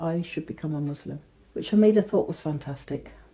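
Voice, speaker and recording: A woman with an English Midlands accent has a dark, mellow tone. Her intonation is lively. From England, Northamptonshire. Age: 50s. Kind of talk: testimony.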